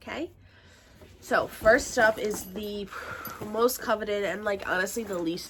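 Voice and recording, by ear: A woman speaks at a fairly slow pace and medium pitch. Her voice sounds nasal.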